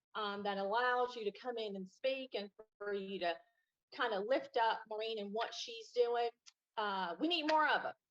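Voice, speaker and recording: A woman in a Southern US accent, fairly high in pitch, at a moderate pace. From US South, Kings Mountain, North Carolina. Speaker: guest. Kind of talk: casual chat.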